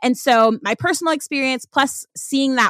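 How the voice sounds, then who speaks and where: A woman with an American accent talks at a moderate pace in an ordinary speaking voice with lively intonation. The sound is dry and close with no echo, in a very clean recording with a silent background. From US South. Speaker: author and diversity consultant. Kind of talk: interview.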